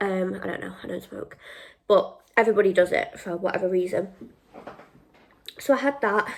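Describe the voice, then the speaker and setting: Long, frequent pauses break up a woman's speech at a moderate pace. Her pitch is medium with ordinary variation, over noticeable background noise. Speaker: vlogger. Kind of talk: casual vlog update.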